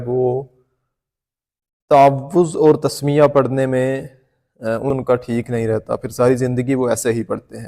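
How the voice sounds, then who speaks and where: A man's medium-pitched, dark, mellow voice in a monotone with flat intonation. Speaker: Quran teacher. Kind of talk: tutorial.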